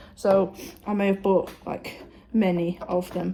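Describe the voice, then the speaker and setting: A woman's medium-pitched, somewhat breathy voice with a dark, mellow tone. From northwest England, Runcorn. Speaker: vlogger. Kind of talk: casual vlog. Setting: outdoors walking. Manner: quiet.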